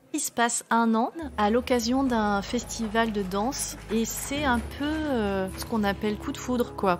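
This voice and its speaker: Music plays in the background as a woman speaks at a fairly slow pace with a fairly high pitch. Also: ordinary pitch variation. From southern France, Var and Avignon. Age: 40s. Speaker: storyteller of own life. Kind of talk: personal testimony. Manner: halting, many hesitations.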